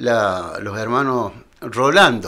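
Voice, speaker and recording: A man speaks with a bright, sharp tone. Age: 70s. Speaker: retired teacher. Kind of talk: interview. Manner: halting.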